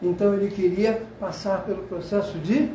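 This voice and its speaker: A man with a high pitch and ordinary pitch variation talks at a fairly slow pace, with audible room echo and noticeable background noise. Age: 80s+. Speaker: sociologist lecturer. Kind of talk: lecture. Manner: animated.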